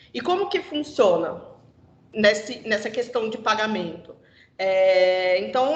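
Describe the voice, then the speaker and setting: A woman's voice with audible room echo. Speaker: corporate trainer. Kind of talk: internal presentation.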